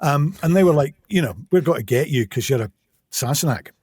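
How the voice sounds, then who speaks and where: A somewhat breathy man with an English accent, fairly high in pitch with very wide pitch swings, on a very clean recording with a silent background. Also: dry, close sound with no echo. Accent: English (Received Pronunciation-like). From England. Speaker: audiobook narrator. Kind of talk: interview. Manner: fast.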